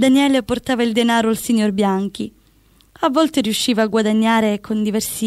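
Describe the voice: The words are read aloud plainly. It is plain reading aloud.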